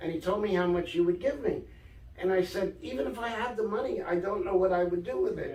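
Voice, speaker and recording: A man with a New York accent talks at a very fast pace in a high pitch. His pitch variation is ordinary. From New York, Brooklyn. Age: 60s. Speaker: author and storyteller. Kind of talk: casual interview. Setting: in a shop.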